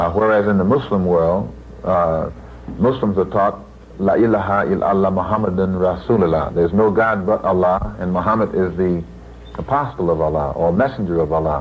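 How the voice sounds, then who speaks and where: Over noticeable background noise, a man with an American accent and a very deep, low pitch talks at a fairly quick pace, his loudness very even and his pitch variation ordinary. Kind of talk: interview answer. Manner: emphatic.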